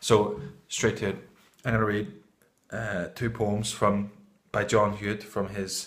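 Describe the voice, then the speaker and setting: A somewhat breathy man speaks at a fairly slow pace and fairly low pitch, with monotone, flat intonation and long, frequent pauses. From Northern Ireland. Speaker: amateur poetry reader and vlogger. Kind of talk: casual vlog talk; poetry reading. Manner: hesitant, with fillers.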